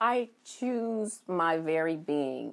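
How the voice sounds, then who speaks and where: A woman speaks with a fairly low pitch and lively intonation. Her tone is warm and calm. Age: 40s. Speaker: physician and practice owner, podcast host.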